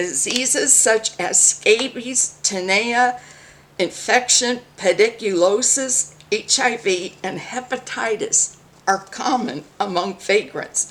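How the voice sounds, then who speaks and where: Over noticeable background noise, a woman with an American accent talks at a very slow pace, her fairly high pitch moving with ordinary variation. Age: 60s. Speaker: mayoral candidate. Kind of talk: reading aloud a campaign statement; political commentary vlog.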